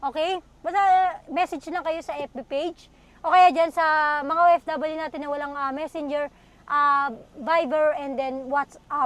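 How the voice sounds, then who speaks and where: A woman's high voice holds fairly even intonation and a moderate pace. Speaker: car dealer vlogger. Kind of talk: car sales vlog. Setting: outdoors at car showroom, dusk. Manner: casual, chatty.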